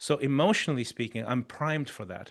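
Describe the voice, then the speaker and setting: Over a quiet background, a man speaks with a non-native accent. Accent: foreign accent noticeable in English. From Chile. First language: Spanish. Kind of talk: interview.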